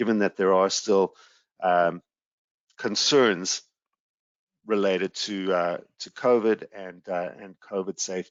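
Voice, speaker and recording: With a South African accent, a man speaks at a fairly slow pace in a fairly low pitch, using fairly even intonation and long, frequent pauses. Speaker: sales executive presenting a travel webinar. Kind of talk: webinar presentation. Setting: online webinar. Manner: hesitant, frequent fillers.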